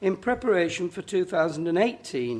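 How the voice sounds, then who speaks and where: Against a quiet background, a high-pitched man with a northern English accent talks at a fairly quick pace, his pitch swinging very widely. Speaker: councillor presenting budget. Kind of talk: formal budget speech. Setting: council chamber meeting. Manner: formal.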